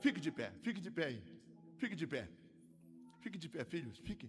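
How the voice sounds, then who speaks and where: A man talks at a fairly quick pace with vocal fry. His pitch is fairly high, with very wide pitch swings. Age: 60s. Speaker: pastor. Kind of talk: sermon. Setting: church.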